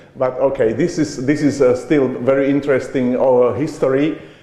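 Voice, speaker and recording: With a non-native accent, a man speaks at a fairly high pitch amid audible room echo and noticeable background noise. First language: not English. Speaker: conference speaker on education. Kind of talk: conference talk. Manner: halting, with hesitations.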